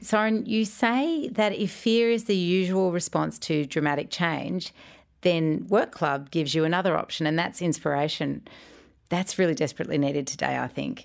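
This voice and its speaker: An Australian accent with lively intonation. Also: woman, fairly low pitch for a woman, moderate pace. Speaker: podcast host. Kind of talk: interview.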